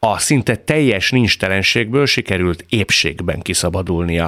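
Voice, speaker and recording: Very deep and low in pitch, a man speaks with lively intonation. The recording sounds dry and close with no echo. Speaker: radio host. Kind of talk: radio interview. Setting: studio. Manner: formal.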